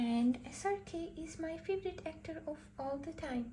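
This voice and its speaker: A woman speaks at a fairly slow pace in a Pakistani accent. Noticeable background noise runs underneath. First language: Urdu. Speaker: art tutorial livestreamer. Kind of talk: casual livestream chat while painting.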